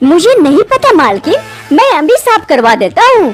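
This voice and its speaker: A woman performs a cartoonish character voice at a moderate pace. Faint music plays in the background. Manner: deferential.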